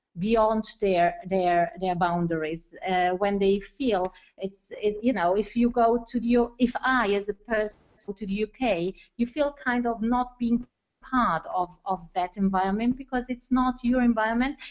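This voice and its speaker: Here a woman talks at a moderate pace. Her fairly high pitch shows ordinary variation. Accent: Italian. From Italy. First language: Italian. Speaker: school educator, webinar participant. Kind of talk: webinar discussion comment. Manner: halting, many fillers.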